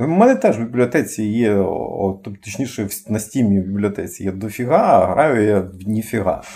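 Somewhat breathy and dark, mellow in tone, a man speaks at a moderate pace with a fairly low pitch and ordinary pitch variation. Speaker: podcast co-host. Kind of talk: casual chat. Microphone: cheap poor-quality microphone.

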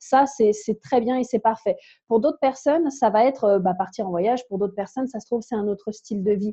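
A woman with a fairly high pitch and a dark, mellow tone speaks somewhat breathily at a fairly quick pace with ordinary pitch variation, in a dry, close sound with no echo. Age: 20s. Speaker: language enthusiast and podcaster. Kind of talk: casual interview.

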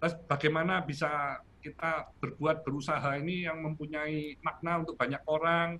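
A bright, sharp tone marks this fairly slow speech. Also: man. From Malang, East Java, Indonesia. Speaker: paint company founder. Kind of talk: interview.

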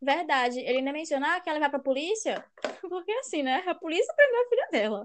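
Extremely high-pitched and very fast, a woman's voice leaps through very wide pitch swings. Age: 20s. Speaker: youtuber. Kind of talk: casual chat.

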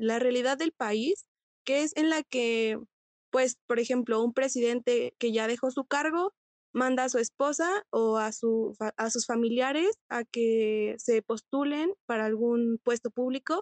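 With a high pitch and ordinary pitch variation, a woman speaks at a fairly slow pace in a dry, close sound with no echo. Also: very even loudness. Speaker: law student, panelist. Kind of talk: casual panel discussion.

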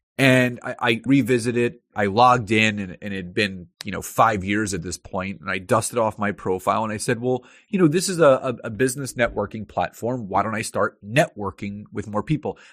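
A plain, everyday voice moves at a fairly quick pace with ordinary pitch variation and hardly any pauses, captured dry and close with no echo on a very clean recording against a silent background. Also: man, fairly low pitch for a man. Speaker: LinkedIn marketing consultant. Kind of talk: interview.

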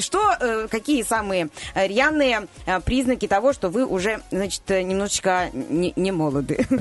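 Over noticeable background noise, a woman speaks very slowly at a medium pitch, her voice swinging very widely up and down. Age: 30s. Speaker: radio news presenter. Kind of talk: radio segment, casual talk.

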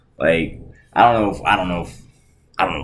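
His voice rings with audible echo from the room. This man keeps to a fairly quick pace. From Arkansas. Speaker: podcast co-host. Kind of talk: casual chat.

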